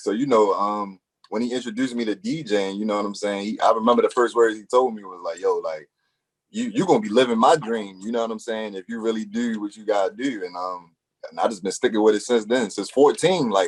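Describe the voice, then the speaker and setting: Talking at a very fast pace, a man with a medium pitch shows ordinary pitch variation and big swings in loudness. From Baltimore, Maryland. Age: 20s. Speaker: radio DJ. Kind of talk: casual interview chat. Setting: podcast interview.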